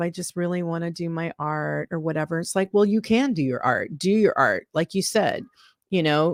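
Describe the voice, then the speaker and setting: A woman with a plain, everyday voice, fairly low in pitch, at a moderate pace with ordinary pitch variation, dry and close with no echo on a very clean recording with a silent background. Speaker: musician, vocalist and author. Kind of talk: interview answer.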